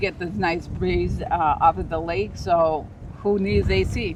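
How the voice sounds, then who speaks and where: A woman with an American accent speaks at a fairly low pitch over noticeable background noise. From Chicago. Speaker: realtor. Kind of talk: casual real estate video chat.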